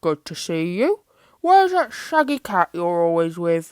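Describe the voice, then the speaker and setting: A woman's growling, put-on character voice at a fairly low pitch and a moderate pace, in a very clean recording with a silent background and a dry, close sound with no echo. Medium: read story. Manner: menacing, contemptuous.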